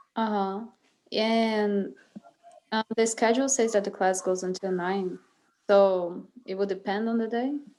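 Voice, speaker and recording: With a Brazilian Portuguese accent, a woman of medium pitch speaks fairly slowly in a dark, mellow tone, leaving long, frequent pauses. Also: fairly even intonation. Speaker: music student. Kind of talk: casual chat.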